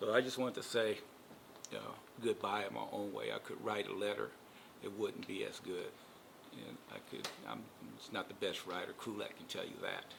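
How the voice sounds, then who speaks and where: Someone with an American accent speaks at a moderate pace, leaving long, frequent pauses. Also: man, big swings in loudness. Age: 60s. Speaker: retiring school staff member. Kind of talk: farewell video message. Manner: halting, filler-heavy.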